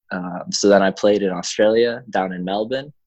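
A man's fairly low voice, at a fairly slow pace, with fairly even intonation. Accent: Chicago. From US Midwest, Chicago. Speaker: professional soccer player. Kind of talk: casual interview.

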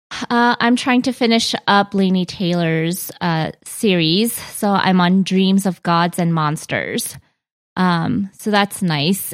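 A normal speaking voice comes through with an American accent and ordinary pitch variation. The recording is very clean, with a silent background and a dry, close sound with no echo. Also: woman. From US, Korean American. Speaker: book podcast co-host. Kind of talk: casual chat.

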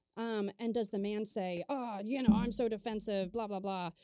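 A woman's fairly high voice with a dark, mellow tone, in an American accent. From Maryland, US. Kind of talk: casual chat.

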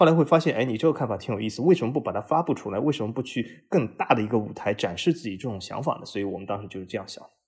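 Talking at a very fast pace, a man sounds somewhat breathy, with lively intonation and big swings in loudness. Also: medium pitch for a man. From Shanghai. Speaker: football podcast host. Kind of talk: casual interview.

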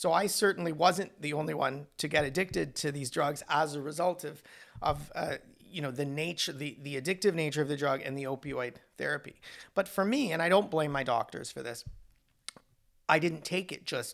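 On a very clean recording with a silent background, a man with a Canadian accent speaks at a fairly quick pace in a fairly high pitch, with ordinary pitch variation and vocal fry. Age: 50s. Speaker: lawyer. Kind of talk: interview.

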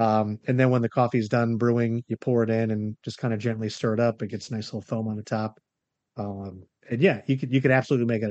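A man with an American accent at a medium pitch, very fast pace and fairly even intonation. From Florida. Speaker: financial planner. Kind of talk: casual chat. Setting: video call.

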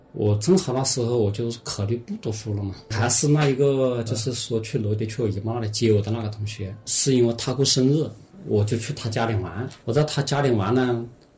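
A man at medium pitch and a fairly quick pace, with ordinary pitch variation, hardly any pauses and noticeable background noise. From Hunan, Xinhua county. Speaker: former film actor and odd-job worker. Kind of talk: casual interview. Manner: hesitant, many fillers.

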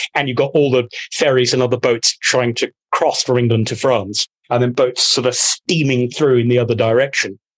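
An ordinary speaking voice from a man at medium pitch, fairly even intonation, moderate pace, dry, close sound with no echo. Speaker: podcast guest. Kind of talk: casual banter, comedic chat.

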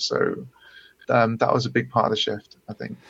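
A man speaks with a British accent. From UK. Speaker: coding bootcamp student. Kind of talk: webinar Q&A conversation. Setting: webinar, online.

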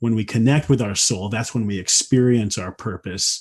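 Against a quiet background, a man with a Midwestern American accent talks at a moderate pace in a dark, mellow, somewhat breathy tone with ordinary pitch variation. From US Midwest. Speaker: wilderness school founder and nature-based purpose guide. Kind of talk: casual interview conversation.

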